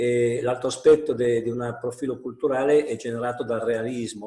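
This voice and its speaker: Against a quiet background with audible room echo, a man speaks at a moderate pace in a dark, mellow, somewhat breathy tone with monotone, flat intonation. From Piedmont, Italy. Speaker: national president of school principals' association; panelist. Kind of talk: webinar talk. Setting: video call from home. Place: home room. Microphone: earbuds.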